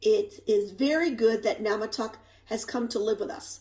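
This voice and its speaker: A woman's raspy, put-on character voice, fairly high-pitched, at a moderate pace. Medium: read story.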